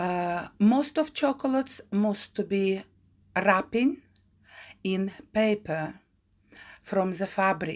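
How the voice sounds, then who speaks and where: On a very clean recording with a silent background, a woman with a non-native accent and medium pitch speaks at a very slow pace, her pitch swinging very widely. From Ukraine. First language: Ukrainian. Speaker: craft teacher. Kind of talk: tutorial. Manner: halting, many fillers.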